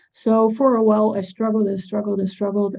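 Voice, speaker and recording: This woman's voice is fairly high. She speaks with a Dutch accent. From Netherlands. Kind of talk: panel talk. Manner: halting.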